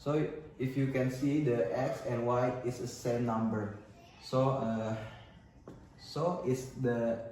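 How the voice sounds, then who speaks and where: With an Indonesian accent, a man at a medium pitch speaks at a very slow pace with long, frequent pauses and very even loudness, amid noticeable background noise and audible room echo. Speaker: university student. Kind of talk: student presentation. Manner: halting.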